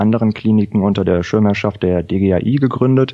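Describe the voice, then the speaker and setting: A man with an unremarkable speaking voice talks at a moderate pace. His pitch sits fairly low, with ordinary pitch variation. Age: 30s. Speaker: anaesthetist, congress organiser. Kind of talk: interview.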